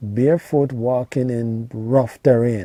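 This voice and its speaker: Speaking very slowly with a Jamaican accent, a man uses a medium pitch and a dark, mellow tone. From rural Jamaica. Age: 50s. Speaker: YouTuber reminiscing on childhood. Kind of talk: casual storytelling monologue. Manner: halting, many fillers and repetitions.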